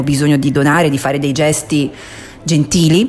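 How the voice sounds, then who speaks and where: Over noticeable background noise, a woman talks at a fairly quick pace in a very deep, low pitch. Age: 40s. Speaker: radio book-segment host. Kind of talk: casual radio talk. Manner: animated.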